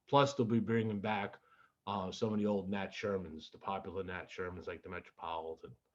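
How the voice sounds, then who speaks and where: At a fairly quick pace, a man talks in an unremarkable speaking voice with fairly low pitch and ordinary pitch variation. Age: 60s. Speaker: podcast host. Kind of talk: news reading; casual chat.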